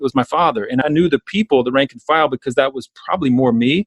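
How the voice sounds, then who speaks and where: Talking very fast, a man with an American accent uses a fairly high pitch. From US South, South Georgia. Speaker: entrepreneurship educator and author. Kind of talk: podcast interview. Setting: call.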